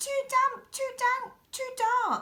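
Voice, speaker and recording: This put-on character voice is squeaky and extremely high-pitched. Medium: read story.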